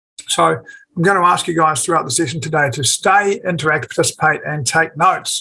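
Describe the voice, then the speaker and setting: This man speaks with a New Zealand accent. His pitch is fairly high and his pace fairly quick. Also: ordinary pitch variation. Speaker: forex trader and educator. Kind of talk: webinar presentation. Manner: fast.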